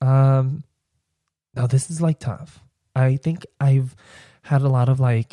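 A man's somewhat breathy voice with a dark, mellow tone and medium pitch, at a fairly slow pace, in a dry, close sound with no echo. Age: 20s. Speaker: podcaster. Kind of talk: casual solo podcast monologue, personal story. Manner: animated, excitable.

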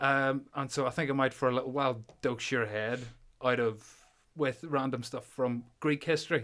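In a Northern Irish accent, a man speaks at a moderate pace with fairly even intonation. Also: medium pitch for a man. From Belfast, Northern Ireland. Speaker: podcast host and powerlifter. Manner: joking, self-deprecating.

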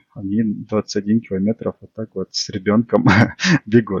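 This man has a normal speaking voice, fairly low in pitch, and talks at a fairly slow pace. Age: 20s. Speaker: amateur runner, tech support specialist. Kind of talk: casual interview chat.

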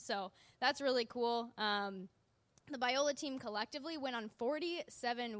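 A woman with a normal speaking voice, a fairly high pitch and lively intonation. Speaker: youth ministry worker. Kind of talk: ministry update presentation.

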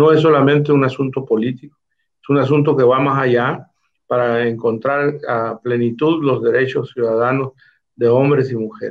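A man talks at a moderate pace with fairly even intonation. He has an ordinary speaking voice. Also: medium pitch for a man. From Mexico, Baja California Sur. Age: 60s. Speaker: politician, former federal official. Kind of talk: interview.

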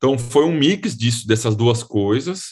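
A somewhat breathy man's voice of medium pitch, ordinary pitch variation, quiet background. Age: 30s. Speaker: real estate investment fund specialist. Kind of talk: interview.

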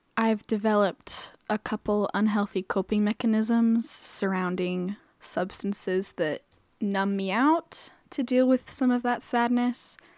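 In an American accent, a woman with a normal speaking voice talks at a fairly slow pace and a fairly high pitch, using ordinary pitch variation, on a very clean recording with a silent background. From Idaho, Boise. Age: 20s. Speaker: podcast host, art student. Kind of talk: personal monologue.

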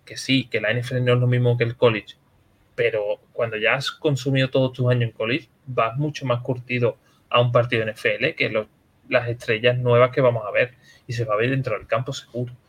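Somewhat breathy speech runs at a fairly quick pace in a monotone, flat intonation. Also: man, medium pitch for a man. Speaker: podcast host. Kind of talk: casual chat.

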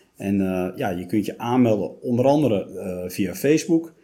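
In a dark, mellow tone, the speaker uses lively intonation at a moderate pace. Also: man, fairly low pitch for a man.

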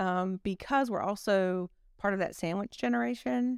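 A woman with a Southern US accent and a medium pitch, lively intonation and a moderate pace, in a very clean recording with a silent background and a dry, close sound with no echo. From US South, South Alabama. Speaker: construction company executive. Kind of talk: casual interview.

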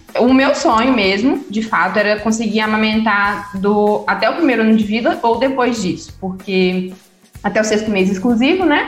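A woman's fairly high-pitched voice with lively intonation and very even loudness, plus music in the background and audible room echo. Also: moderate pace. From Minas Gerais, Brazil (Itabirito). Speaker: physiotherapist and breastfeeding consultant. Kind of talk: interview, personal story.

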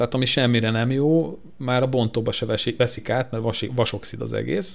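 This man's voice sits at a medium pitch with ordinary pitch variation. He speaks at a fairly slow pace. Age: 30s. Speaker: podcast co-host, classic car owner. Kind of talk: casual chat. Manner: halting, many repetitions.

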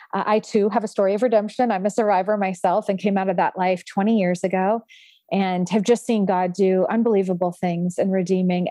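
Hardly pausing at all, a woman with an ordinary speaking voice keeps a fairly quick pace, a medium pitch and fairly even intonation. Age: 40s. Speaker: nonprofit founder and trafficking survivor. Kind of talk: personal testimony in interview.

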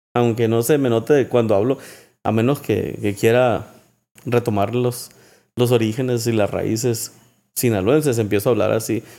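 Over a very clean recording with a silent background, a man with a dark, mellow tone speaks at a moderate pace with long, frequent pauses. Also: medium pitch for a man, fairly even intonation. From Mexico, Sinaloa. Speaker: songwriter. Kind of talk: casual chat. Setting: at home.

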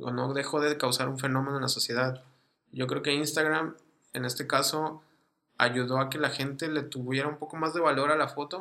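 With a Mexican accent, a man speaks at a moderate pace in a fairly high pitch, his intonation monotone and flat. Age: 20s. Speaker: podcast host, amateur photographer. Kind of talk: casual chat.

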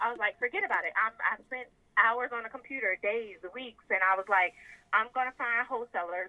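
Fairly quick speech in a Southern US accent, with ordinary pitch variation. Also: woman. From US South, South Carolina. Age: 20s. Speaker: lingerie business owner. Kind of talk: casual chat.

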